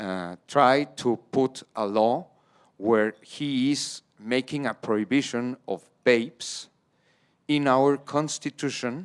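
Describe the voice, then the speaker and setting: In a very clean recording with a silent background and a dry, close sound with no echo, a man with a Spanish accent speaks at a very slow pace with ordinary pitch variation. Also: medium pitch for a man. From Mexico. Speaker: policy expert panelist. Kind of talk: panel discussion.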